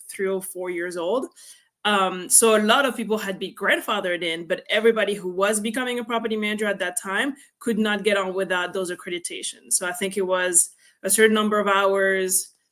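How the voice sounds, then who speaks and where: A woman with a French accent speaks at a very fast pace. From France. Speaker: real estate investor. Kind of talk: interview.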